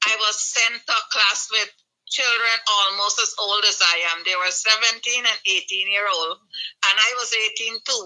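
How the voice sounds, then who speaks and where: With an unremarkable speaking voice, a woman talks at a moderate pace, her pitch fairly high and her intonation fairly even. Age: 60s. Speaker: retired nurse and nurse educator. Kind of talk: interview. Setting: radio studio.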